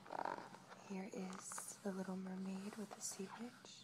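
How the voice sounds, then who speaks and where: The voice stays monotone and flat in intonation, with noticeable background noise behind it. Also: woman. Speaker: ASMR video creator. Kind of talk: ASMR storytelling and book showing. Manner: soft-spoken, whispery, slow.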